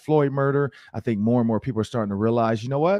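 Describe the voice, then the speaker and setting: Against a quiet background, a man talks with ordinary pitch variation in a dry recording with no echo. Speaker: podcast host. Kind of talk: sports commentary discussion. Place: home room. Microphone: studio mic.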